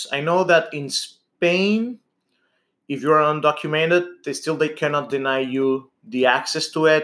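With a Spanish accent, a man talks fairly slowly in a fairly high voice with lively intonation. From Venezuela. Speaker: type 1 diabetic patient advocate. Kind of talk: interview.

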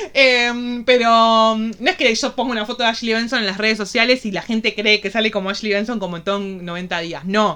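A woman speaks at a moderate pace with hardly any pauses, her pitch fairly high and varying in an ordinary way. Her tone is bright and sharp. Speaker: podcast co-host. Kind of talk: casual chat.

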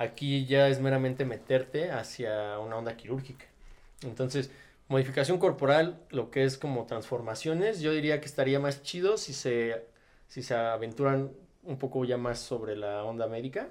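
A normal speaking voice keeps a moderate pace, its pitch varying in an ordinary way. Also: man, medium pitch for a man. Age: 20s. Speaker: body modification enthusiast. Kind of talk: casual chat. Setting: studio.

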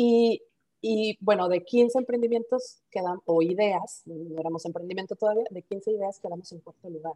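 With a Mexican accent, a woman talks at a moderate pace and a medium pitch, her dark, mellow tone showing ordinary pitch variation in a dry, close sound with no echo. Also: big swings in loudness. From Mexico. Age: 40s. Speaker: startup founder. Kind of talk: interview.

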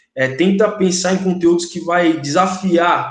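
A man speaks at a high pitch with noticeable background noise. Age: 30s. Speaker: English teacher and content creator. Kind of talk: casual chat.

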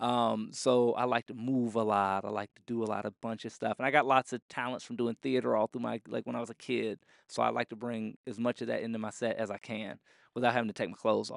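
A man talks at a very fast pace in a monotone, flat delivery. The sound is dry and close with no echo, against a quiet background. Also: medium pitch for a man. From Florida, Orlando. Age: 20s. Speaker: comedian. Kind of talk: casual interview. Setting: comedy club.

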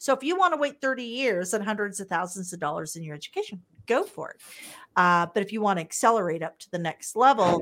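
A woman speaks with ordinary pitch variation on a very clean recording with a silent background. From US Midwest, Wichita, Kansas. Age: 50s. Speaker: real estate entrepreneur. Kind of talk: casual interview chat.

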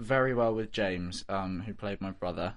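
Against a quiet background, a man speaks with a West Country accent at a moderate pace. His fairly low voice has ordinary pitch variation. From southwest England, Bristol. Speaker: actor. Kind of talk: interview. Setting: studio.

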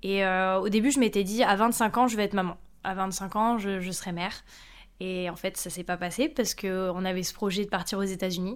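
On a very clean recording with a silent background, a woman speaks. Her pitch is medium and her pace moderate. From France. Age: 30s. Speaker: mother sharing her story. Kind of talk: interview.

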